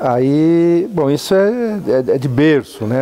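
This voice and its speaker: Noticeable background noise behind a man's lively, varied intonation. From Brazil, São Paulo state (Araçatuba). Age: 60s. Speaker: university professor and engineer. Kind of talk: interview, personal recollection. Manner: hesitant, repeats words.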